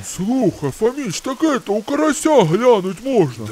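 Putting on a character voice, a man with a high pitch speaks at a moderate pace over clear background noise. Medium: machinima. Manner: whiny, indignant, comic.

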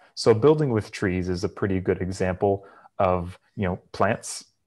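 Against a quiet background, a man speaks with a fairly low pitch. His pace is moderate. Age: 30s. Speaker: startup co-founder. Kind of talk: interview. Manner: casual, hesitant with fillers. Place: home room. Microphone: earbuds.

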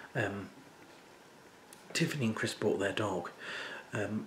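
A man's fairly low-pitched voice at a fairly slow pace, with audible room echo and light background noise. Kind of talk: casual vlog chat. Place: home room. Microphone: phone near.

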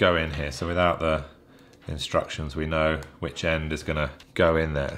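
At a moderate pace, a man speaks with a very deep, low pitch and monotone, flat intonation. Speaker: gear reviewer. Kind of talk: tutorial. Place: home room.

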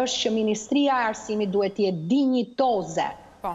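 A plain, everyday voice, a woman speaking at a fairly quick pace with ordinary pitch variation. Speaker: university lecturer. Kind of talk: TV interview. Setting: Skype video call.

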